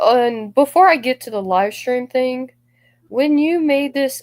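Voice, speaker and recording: Lively intonation from a woman with an unremarkable speaking voice. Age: 20s. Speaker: gaming streamer. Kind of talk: livestream talk about personal grievances. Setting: live stream.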